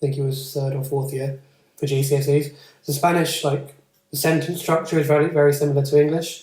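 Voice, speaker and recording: A man talks in a fairly high, somewhat breathy voice. His intonation is monotone and flat. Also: fairly quick pace. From England. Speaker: tutor and podcast host. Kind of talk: casual chat.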